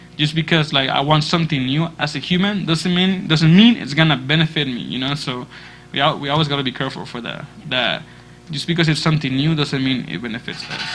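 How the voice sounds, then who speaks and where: A man with a Spanish accent at a fairly high pitch, with ordinary pitch variation and a very fast pace. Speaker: church youth leader. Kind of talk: youth group discussion.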